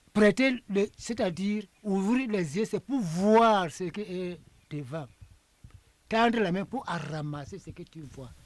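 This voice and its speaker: A man speaks very slowly with a high pitch, lively intonation, big swings in loudness, and long, frequent pauses. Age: 80s+. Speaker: traditional priest and elder. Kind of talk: interview. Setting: under a tent in a village.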